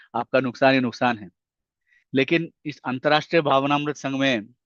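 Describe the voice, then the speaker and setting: In a quiet background, a man speaks at a medium pitch with a dry, close sound and no echo. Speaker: spiritual lecturer. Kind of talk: religious lecture.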